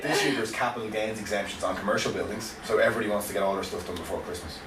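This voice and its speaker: This man talks very fast, and noticeable noise is audible behind him. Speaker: estate agent / auctioneer branch manager. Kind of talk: radio interview answer. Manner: friendly, chatty, optimistic.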